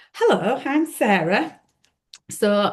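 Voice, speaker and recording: This woman speaks with a Yorkshire accent. Her pitch swings very widely. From Yorkshire, Leeds. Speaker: podcast co-host. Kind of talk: casual chat. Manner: hesitant, with fillers.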